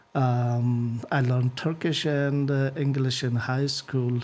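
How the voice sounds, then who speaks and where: With an Afghan accent, a man of medium pitch speaks at a very slow pace with fairly even intonation over noticeable background noise. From northern Afghanistan. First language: Uzbek. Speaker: IT engineer. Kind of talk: interview. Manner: hesitant, many fillers.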